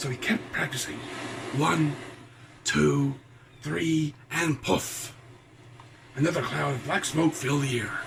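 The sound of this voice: A man puts on a character voice at a fairly high pitch, with vocal fry, a fairly bright tone and ordinary pitch variation. He talks slowly with long, frequent pauses, and audible room echo fills the space.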